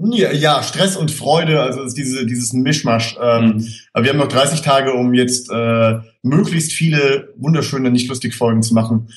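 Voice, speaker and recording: At a moderate pace, a man talks with medium pitch, ordinary pitch variation, and a somewhat breathy sound. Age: 20s. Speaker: screenwriter. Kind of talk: casual chat.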